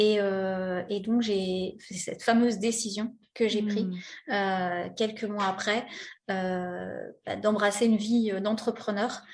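A woman speaks at a very slow pace with flat, monotone intonation. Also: medium pitch for a woman. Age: 40s. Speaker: interview guest sharing personal story. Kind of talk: personal testimony. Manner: hesitant, many fillers.

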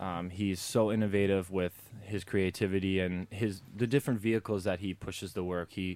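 In a very clean recording with a silent background, a man with a Chicago accent talks at a moderate pace in a very deep, low pitch. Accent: Chicago American. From US Midwest, Chicago. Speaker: street artist, painter. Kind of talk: interview.

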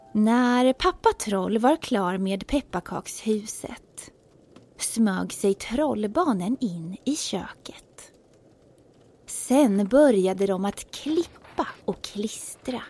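Speaking very slowly, a woman uses a fairly high, warm, playful voice with lively intonation. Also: dry, close sound with no echo. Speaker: storyteller. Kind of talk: fairy-tale narration, children's story read aloud in rhyme. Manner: warm, playful, storytelling; animated, lilting rhythm with character voices.

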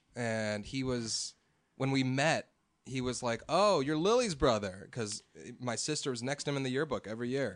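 A man with an American accent speaks at medium pitch and a moderate pace, with ordinary pitch variation, in an unremarkable speaking voice over a quiet background. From US Midwest, Chicago North Shore. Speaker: musician and producer. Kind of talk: casual chat.

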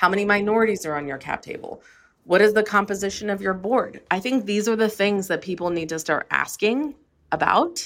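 A normal speaking voice with lively intonation comes across in a very clean recording with a silent background. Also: woman, medium pitch for a woman. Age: 40s. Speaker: beauty entrepreneur and investor. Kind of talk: interview.

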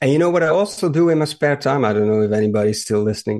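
Fairly quick speech with lively intonation and a slight Dutch accent. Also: man. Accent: mild Dutch-accented English. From southern Netherlands. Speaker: motorsport journalist. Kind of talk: casual chat. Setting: remote call.

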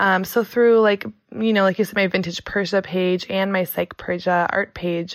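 On a very clean recording with a silent background, a woman with an American accent uses an ordinary speaking voice at a medium pitch, a moderate pace and fairly even intonation. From US Midwest, Michigan. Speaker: collage artist and speech-language pathologist. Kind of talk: casual interview conversation. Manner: casual, filler-heavy with frequent 'like'.

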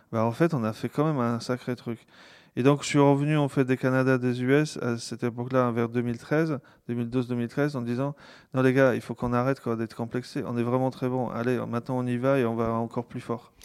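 In a very clean recording with a silent background, a man talks at a moderate pace with a medium pitch and monotone, flat intonation. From Poland. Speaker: tech company founder. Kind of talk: interview conversation. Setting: home. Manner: halting, frequent repetitions.

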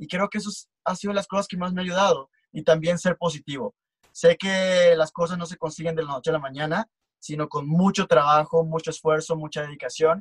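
With a dry, close sound and no echo, a man talks at a fairly quick pace in a high pitch with fairly even intonation. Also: big swings in loudness. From Mexico, Tabasco (Comalcalco). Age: 20s. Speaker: photographer and model. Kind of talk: casual interview chat.

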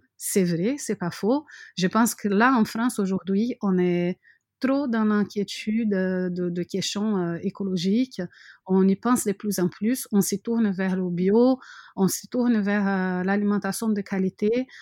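In a Brazilian accent, someone talks very slowly with fairly even intonation, the sound dry and close with no echo against a quiet background. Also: woman, medium pitch for a woman. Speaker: mother living abroad. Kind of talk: interview. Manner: halting, many fillers and repetitions.

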